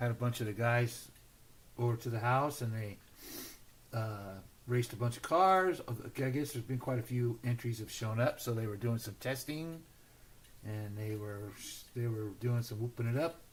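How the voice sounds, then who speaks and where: With long, frequent pauses, a somewhat breathy man speaks at a moderate pace and medium pitch, his pitch varying in an ordinary way. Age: 60s. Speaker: slot car builder hosting a livestream. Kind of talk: casual livestream chat.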